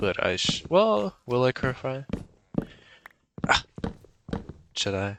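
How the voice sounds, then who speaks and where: Speaking at a very slow pace, a man makes very wide pitch swings and takes long, frequent pauses. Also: medium pitch for a man. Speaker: gaming youtuber. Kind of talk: casual vlog chat over gameplay. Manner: animated, excited; mumbling at times.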